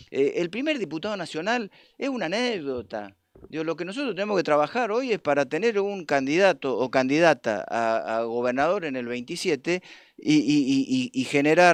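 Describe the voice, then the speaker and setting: High-pitched man's voice with very wide pitch swings at a moderate pace, against a quiet background. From Argentina, Mendoza province. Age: 60s. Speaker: union leader. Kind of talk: political talk on a live stream. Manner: halting, many repetitions and fillers.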